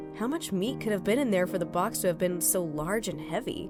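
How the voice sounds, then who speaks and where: A woman speaks at a fairly low pitch with ordinary pitch variation. Music plays in the background. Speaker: horror story narrator. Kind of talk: read story narration.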